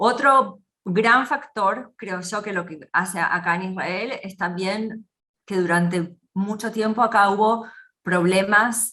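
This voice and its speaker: A woman talks very slowly in a bright, sharp tone. Her pitch is medium with ordinary variation. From Argentina. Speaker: business consultant. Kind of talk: interview.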